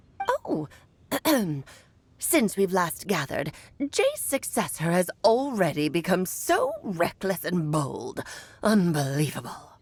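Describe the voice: A woman performs a put-on character voice at a medium pitch. She goes at a fairly slow pace with long, frequent pauses.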